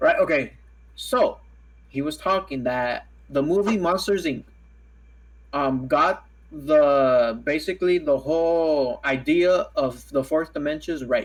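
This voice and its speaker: Speaking at a very slow pace with long, frequent pauses, a man has a fairly high pitch and ordinary pitch variation. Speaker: podcast host. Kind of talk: casual chat.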